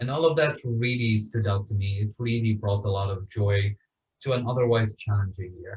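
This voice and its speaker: A man with an Arabic accent speaks at a moderate pace in a somewhat breathy, fairly low voice with ordinary pitch variation. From Syria, Damascus. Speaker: author and refugee advocate. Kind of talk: interview.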